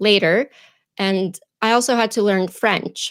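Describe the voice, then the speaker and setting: A woman with a Russian accent at medium pitch and ordinary pitch variation, on a very clean recording with a silent background. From Ukraine, Kharkiv. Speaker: YouTube presenter and actor. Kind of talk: interview. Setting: live stream.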